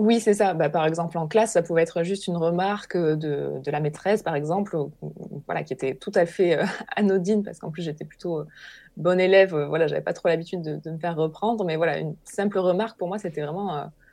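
Against a quiet background, a woman talks at a fairly quick pace in a fairly low pitch, with a dark, mellow tone and ordinary pitch variation. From southern France, Hérault. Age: 30s. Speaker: naturopath. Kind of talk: interview testimony.

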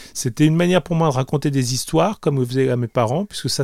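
Recorded dry and close with no echo and a silent background, a man speaks at a very fast pace in a dark, mellow tone with ordinary pitch variation. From France, Grenoble area, Italian family. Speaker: comic book artist. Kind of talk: interview. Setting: his small studio. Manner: hesitant, many repetitions.

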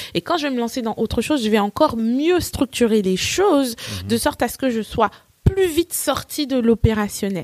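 A woman's normal speaking voice, fairly high-pitched, with lively intonation at a moderate pace, in a dry, close recording with no echo. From Côte d'Ivoire (Nigerian family), then France from age 12. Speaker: English teacher and entrepreneur. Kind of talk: interview.

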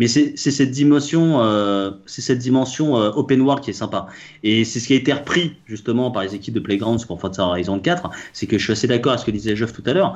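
Pitched at a medium level with ordinary variation, a man with a plain, everyday voice talks at a fairly quick pace. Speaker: podcast co-host. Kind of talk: casual chat.

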